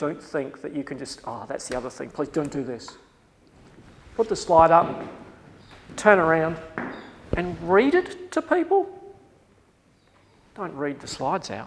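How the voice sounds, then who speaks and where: A man with an Australian accent talks at a fairly slow pace, with big swings in loudness and long, frequent pauses. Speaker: university lecturer. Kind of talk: lecture. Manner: animated.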